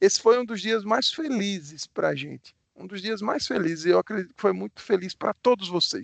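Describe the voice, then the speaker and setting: With a Pernambuco accent, a man talks at a high pitch in a dry, close sound with no echo. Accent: Pernambuco Brazilian Portuguese. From Brazil, Pernambuco. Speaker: bank executive. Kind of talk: live webinar talk. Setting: online live stream. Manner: warm, animated.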